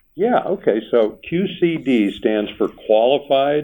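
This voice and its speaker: This man talks at a very slow pace. His pitch swings very widely. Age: 60s. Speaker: financial planner and radio show host. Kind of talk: casual radio talk show chat.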